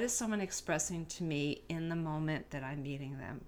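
Lively intonation and a moderate pace mark a woman's talk in a normal speaking voice. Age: 50s. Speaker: homeopathy practitioner. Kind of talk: casual interview.

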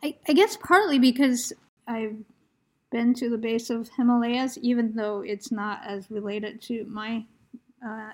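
This woman has an ordinary speaking voice, fairly high in pitch, with fairly even intonation and an American accent. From United States. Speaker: poetry podcast host. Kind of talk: conversational interview with scripted announcements. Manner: formal.

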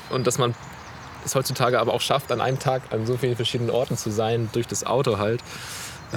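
Amid noticeable background noise, a man speaks fairly quickly at a medium pitch. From northern Germany, near Flensburg. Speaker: physiotherapist. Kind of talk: casual interview. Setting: outdoors in a city forest. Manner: hesitant, many fillers.

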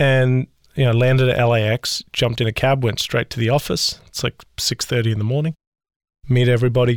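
With a monotone, flat intonation and very even loudness, a man speaks at a fairly quick pace in a dry, close sound with no echo. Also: medium pitch for a man. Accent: Australian. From Australia, Adelaide. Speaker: business founder and CEO. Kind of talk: interview.

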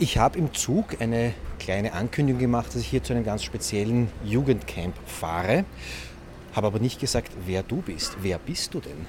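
A man's fairly low voice with very wide pitch swings, amid noticeable background noise. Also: moderate pace. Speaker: podcast host. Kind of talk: on-location reportage.

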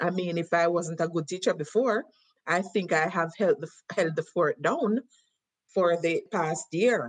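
A woman with a Jamaican accent speaks at a fairly slow pace. Her voice is fairly low, with ordinary pitch variation. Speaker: cultural exchange teacher. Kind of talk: casual conversational interview. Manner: enthusiastic.

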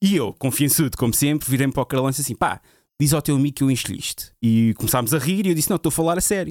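Recorded very cleanly against a silent background, a man speaks at a medium pitch in a dry, close sound with no echo. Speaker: DJ. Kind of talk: casual chat.

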